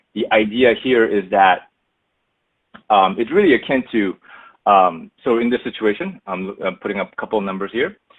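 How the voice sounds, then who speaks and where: A man talks at a moderate pace in a fairly low pitch with an American accent. His is a plain, everyday voice with ordinary pitch variation. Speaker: analytics executive presenting a webinar. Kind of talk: webinar presentation. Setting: online webinar. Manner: casual, many filler words.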